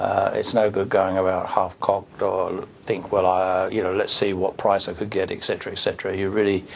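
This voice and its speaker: The speaker is a man talking at a moderate pace. Noticeable background noise runs underneath. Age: 60s. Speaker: retiring financial planner. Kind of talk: testimonial. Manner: hesitant, many fillers.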